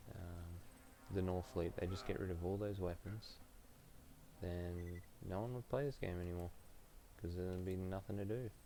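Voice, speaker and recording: This man has a very deep, low pitch and a dark, mellow tone. He keeps a moderate pace and fairly even intonation, with long, frequent pauses. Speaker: gaming streamer. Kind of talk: live gameplay stream chat. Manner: quiet, keeping voice down; hesitant with many fillers.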